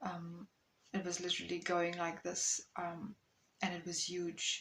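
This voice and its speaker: Fairly slow speech with monotone, flat intonation, in a South African accent. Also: woman, fairly low pitch for a woman. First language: Afrikaans. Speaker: content creator. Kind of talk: personal testimony. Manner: hesitant, many fillers.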